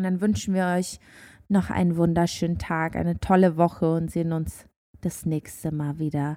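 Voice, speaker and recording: At a moderate pace, a woman speaks with a fairly low pitch, fairly even intonation and a dark, mellow tone. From Germany. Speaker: podcast co-host. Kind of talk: casual chat. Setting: remote call.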